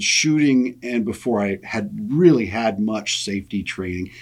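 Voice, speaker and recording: A man with an American accent speaks at a moderate pace in a normal speaking voice, medium in pitch with lively intonation. The recording is very clean, with a silent background. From US Midwest, western South Dakota. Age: 50s. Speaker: gun rights lobbyist. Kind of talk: casual interview.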